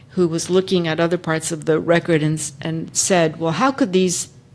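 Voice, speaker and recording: A woman talks at a moderate pace in a fairly low pitch with ordinary pitch variation. Noticeable background noise is present. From Texas. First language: Spanish. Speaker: civil rights lawyer. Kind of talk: panel discussion.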